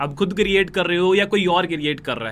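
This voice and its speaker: A man uses a raised, projected voice with a bright, sharp tone. His pitch varies in an ordinary way. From North India, Noida. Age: 20s. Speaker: network marketing recruiter. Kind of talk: motivational sales pitch.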